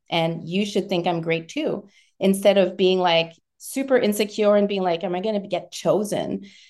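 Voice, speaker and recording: Speaking at a moderate pace, a woman has a plain, everyday voice at medium pitch with ordinary pitch variation. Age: 50s. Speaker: menopause transition coach. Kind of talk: interview conversation.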